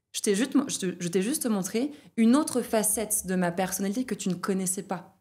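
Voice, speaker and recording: A woman speaks at a medium pitch and a fairly quick pace, with ordinary pitch variation. Her tone is dark and mellow, on a very clean recording with a silent background. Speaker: trainer of trainers. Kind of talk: podcast interview. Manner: fast; loud.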